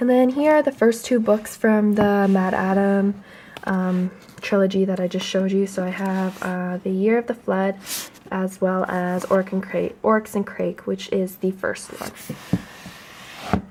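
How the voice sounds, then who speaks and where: A soft-spoken woman with a Canadian accent, fairly slow and fairly even in intonation, over noticeable background noise. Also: medium pitch for a woman. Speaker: booktuber. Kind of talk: casual chat. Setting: at home, beside front door.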